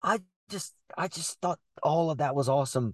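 In a quiet background, a man with a fairly high pitch talks in an animated tone with ordinary pitch variation, the sound dry and close with no echo. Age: 30s. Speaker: horror movie podcast co-host. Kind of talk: casual chat.

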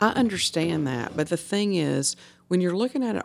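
The recording is very clean, with a silent background. A woman speaks in a Mississippi accent. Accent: US Southern (Mississippi). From northern Mississippi, Hernando. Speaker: city alderwoman. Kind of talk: casual chat. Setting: hotel room.

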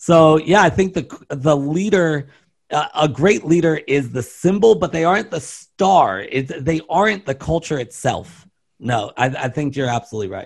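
A man with an American accent speaks at a moderate pace in an ordinary speaking voice, his pitch fairly high with lively intonation. The background is quiet. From US East Coast, Baltimore, Maryland. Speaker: business consultant and keynote speaker. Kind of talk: interview.

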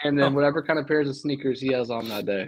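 A man's normal speaking voice with an American accent and fairly even intonation. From coastal North Carolina. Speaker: podcast intern. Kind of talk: casual chat.

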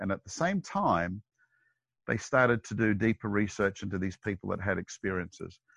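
An Australian accent comes through in the voice. Nothing much sounds behind it. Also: man. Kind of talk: interview.

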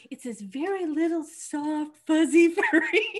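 A put-on character voice delivers its lines at a fairly slow pace. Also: woman, extremely high pitch for a woman. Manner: sweet, sing-song.

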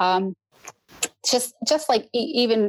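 This woman has a normal speaking voice with ordinary pitch variation. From Newfoundland, Canada. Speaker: hunter. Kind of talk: podcast interview.

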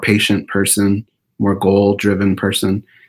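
In a very clean recording with a silent background, a man with an American accent speaks at a moderate pace in a fairly low pitch. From Orange County, California. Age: 40s. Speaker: podcast host. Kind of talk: interview.

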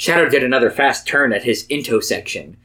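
The pitch moves in an ordinary way. It belongs to an unforced reading voice.

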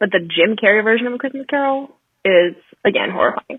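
A woman speaks at a fairly high pitch with ordinary pitch variation. Hers is an unremarkable speaking voice at a moderate pace. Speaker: podcast guest. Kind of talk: casual chat.

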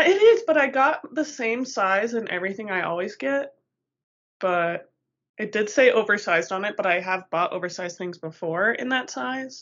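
A woman speaks in a Colorado accent. Her pace is moderate and her intonation lively. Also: fairly high pitch for a woman. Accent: American, Colorado. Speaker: podcast co-host. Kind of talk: casual chat.

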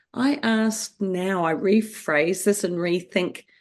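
Speaking in a New Zealand accent, a woman has a medium pitch and lively intonation. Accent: New Zealand, noticeable. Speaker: author and mother. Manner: warm, storytelling.

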